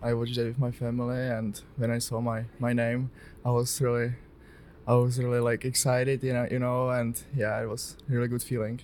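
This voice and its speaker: At a moderate pace, a man with a Czech accent speaks in a monotone, flat intonation. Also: medium pitch for a man. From Czech Republic (Jihlava). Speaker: hockey prospect, defenseman. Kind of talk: interview.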